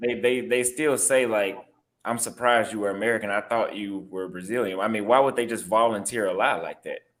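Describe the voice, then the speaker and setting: Speaking with a Texas accent, a man keeps a medium pitch and fairly even intonation at a fairly quick pace. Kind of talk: heated debate.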